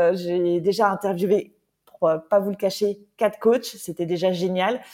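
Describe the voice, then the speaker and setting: Speaking at a very slow pace, a woman takes her time with each word. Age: 40s. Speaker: podcast host, former nurse. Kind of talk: solo podcast monologue. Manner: hesitant, many fillers.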